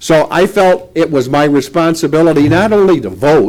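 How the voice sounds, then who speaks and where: A man's high-pitched voice moves at a moderate pace, its pitch varying in an ordinary way. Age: 70s. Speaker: city mayor. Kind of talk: press conference remarks. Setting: press conference at a lectern with a sound system.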